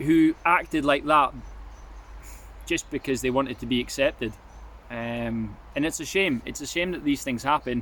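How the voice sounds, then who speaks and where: On a very clean recording with a silent background, a man with a fairly high voice speaks at a moderate pace, with ordinary pitch variation and long, frequent pauses. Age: 20s. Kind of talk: casual talk to camera. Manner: hesitant, reflective.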